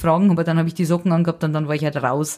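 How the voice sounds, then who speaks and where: Very fast in pace, a woman speaks with a fairly low voice and a dark, mellow tone. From Lower Bavaria, near Passau (Bavarian Forest). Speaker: singer-songwriter and musician. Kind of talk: casual interview chat.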